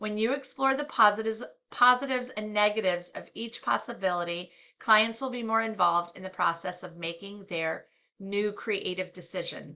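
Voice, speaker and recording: A woman puts on a raspy character voice at medium pitch. She talks at a moderate pace with big swings in loudness. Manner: fast, stumbling over words.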